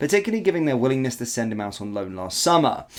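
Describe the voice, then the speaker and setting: Speaking with an English accent, a man rattles along at a very fast pace. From England. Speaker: football YouTuber. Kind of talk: reading news report; casual commentary. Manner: filler-heavy, lots of ums.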